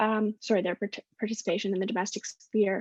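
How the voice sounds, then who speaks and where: Dry and close with no echo, a woman at medium pitch speaks with vocal fry in a Canadian accent. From west coast of Canada. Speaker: postdoctoral researcher, social psychologist. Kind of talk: academic talk at online panel.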